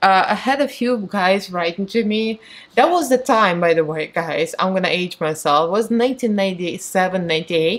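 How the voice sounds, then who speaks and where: Moderately paced speech from a woman with a Russian accent, medium in pitch, with ordinary pitch variation. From Moldova. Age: 40s. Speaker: beauty vlogger. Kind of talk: casual get-ready-with-me chat. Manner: talkative.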